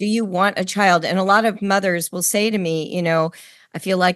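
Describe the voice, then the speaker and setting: A woman at a moderate pace, medium pitch, and ordinary pitch variation, with a plain, everyday voice. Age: 60s. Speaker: podcast host. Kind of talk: interview conversation.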